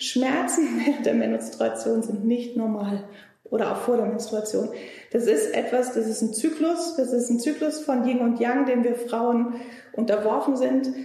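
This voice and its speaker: A woman with a high pitch speaks at a fairly slow pace and very even loudness. Audible room echo and noticeable background noise surround her. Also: ordinary pitch variation. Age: 40s. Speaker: naturopath practising Chinese medicine. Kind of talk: casual interview.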